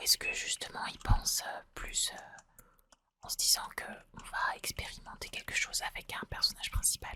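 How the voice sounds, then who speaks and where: Whispering at a moderate pace, a woman's voice swings widely in loudness. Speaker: ASMR gaming content creator. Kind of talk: casual gameplay commentary to camera. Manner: soft-spoken, hesitant, thoughtful.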